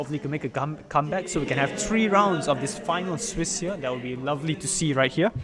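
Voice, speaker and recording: Noticeable background noise accompanies a man talking at a very fast pace. His fairly high pitch carries lively intonation. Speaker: esports commentator. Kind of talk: live commentary. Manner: animated.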